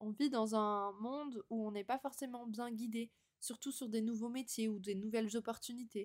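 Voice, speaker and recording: In a dry, close sound with no echo, a woman with a fairly high pitch keeps a moderate pace and fairly even intonation. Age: 20s. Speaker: podcast host. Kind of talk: casual monologue. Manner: spontaneous, with hesitations.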